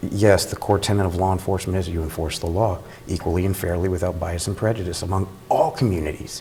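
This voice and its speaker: A man's very deep, low voice at a very fast pace, with fairly even intonation, big swings in loudness and noticeable background noise. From Latin household, Cuban family (US). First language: Spanish. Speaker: police officer. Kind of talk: news interview.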